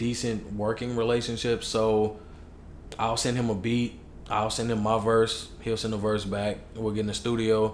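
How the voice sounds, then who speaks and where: Over noticeable background noise and audible room echo, a man talks at a moderate pace with monotone, flat intonation. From Chicago, US. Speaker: hip hop artist. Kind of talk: casual chat. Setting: podcast interview.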